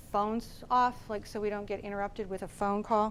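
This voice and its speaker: The woman's speech moves at a moderate pace. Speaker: professor and guest speaker. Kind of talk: lecture. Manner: voice gets quieter when leading meditation.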